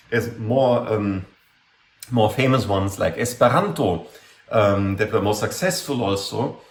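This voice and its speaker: A man speaks at a fairly slow pace in a medium pitch. The room echo is audible. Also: ordinary pitch variation. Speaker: university lecturer. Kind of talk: lecture. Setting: classroom talk. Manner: hesitant, many fillers. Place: home room. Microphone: webcam.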